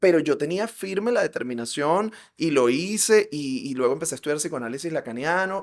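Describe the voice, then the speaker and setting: A man's fairly high, animated voice in a Venezuelan accent, fairly quick, with very wide pitch swings, on a very clean recording with a silent background. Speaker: psychologist. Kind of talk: interview conversation.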